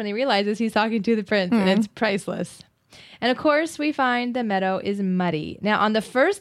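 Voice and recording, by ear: The pitch shifts in an ordinary way. It is a natural voice reading aloud.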